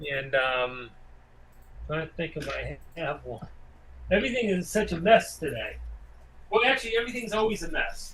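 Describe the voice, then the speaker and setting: A speaker with an American accent talks at a moderate pace with long, frequent pauses, very wide pitch swings and big swings in loudness over noticeable background noise. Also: man, high pitch for a man. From Massachusetts. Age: 60s. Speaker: independent filmmaker. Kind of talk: interview. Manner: halting.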